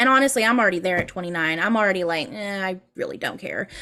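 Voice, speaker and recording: A woman's animated voice, bright and sharp in tone, with lively intonation. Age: 20s. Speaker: voice actor. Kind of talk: interview.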